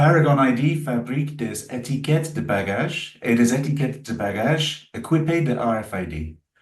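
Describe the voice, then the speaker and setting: Speaking at a fairly slow pace with hardly any pauses, a man has a slight English accent. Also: medium pitch for a man, lively intonation. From England. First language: English (speaking French). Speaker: aviation solutions executive. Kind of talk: webinar presentation. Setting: online webinar.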